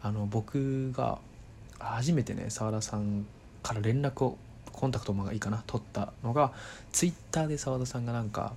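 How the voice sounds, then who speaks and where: With ordinary pitch variation and a moderate pace, this voice comes across as somewhat breathy. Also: man, medium pitch for a man. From Kanto, Japan (Saitama/Tokyo). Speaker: podcaster. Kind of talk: casual monologue. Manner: halting, many fillers.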